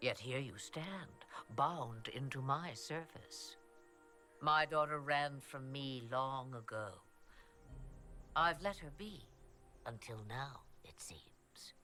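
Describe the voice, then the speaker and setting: A man speaks at a medium pitch in a put-on character voice with a theatrical tone. His delivery is very slow, broken by long, frequent pauses. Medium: video game. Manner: cryptic, theatrical, knowing.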